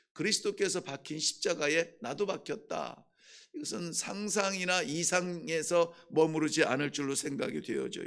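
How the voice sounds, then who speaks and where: Pitch moves up and down a normal amount. The tempo is moderate. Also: man, high pitch for a man. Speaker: pastor. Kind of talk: sermon. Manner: halting, with frequent filler sounds.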